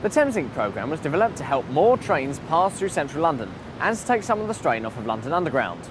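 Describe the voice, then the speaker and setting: A man talks at a very fast pace with very wide pitch swings and a fairly high pitch. Music plays in the background. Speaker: TV presenter. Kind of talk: news report.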